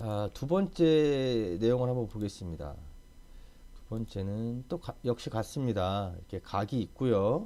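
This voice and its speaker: A man with a dark, mellow tone at medium pitch, very slow pace, lively intonation and big swings in loudness, on a very clean recording with a silent background. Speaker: CAD instructor. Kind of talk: tutorial. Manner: casual.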